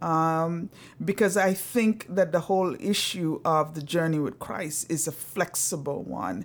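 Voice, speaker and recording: A woman speaks at a fairly slow pace in a fairly low pitch, with a slight Antiguan accent. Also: ordinary pitch variation. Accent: slight Caribbean (Antiguan). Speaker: social work professor. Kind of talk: interview conversation. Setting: home living room.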